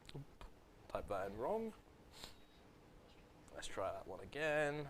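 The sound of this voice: A man speaks at a moderate pace. His tone is fairly bright.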